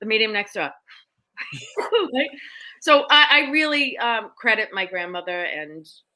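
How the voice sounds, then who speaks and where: An animated voice with an American accent and a bright, sharp tone. Pitch swings very widely, with long, frequent pauses. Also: woman, fairly high pitch for a woman, fairly slow pace. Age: 50s. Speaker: psychic medium. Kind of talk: interview storytelling.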